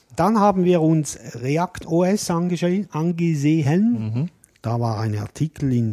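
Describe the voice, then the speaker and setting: Over music in the background, a man speaks very slowly in a fairly high voice with very wide pitch swings, the sound dry and close with no echo. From Switzerland. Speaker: podcast co-host. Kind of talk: casual chat.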